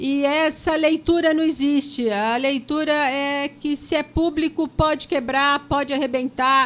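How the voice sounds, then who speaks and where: Pitched high, a woman speaks at a fairly slow pace with fairly even intonation and very even loudness. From Brazil, São Paulo. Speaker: public school educator. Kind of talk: interview.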